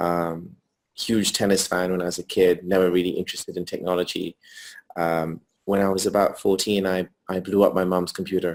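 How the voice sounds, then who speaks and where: At a fairly quick pace, a man with a British accent speaks at a very deep, low pitch in a monotone, flat intonation. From England, North London. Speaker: entrepreneur. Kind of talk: interview. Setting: video call from hotel room. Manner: hesitant, many fillers.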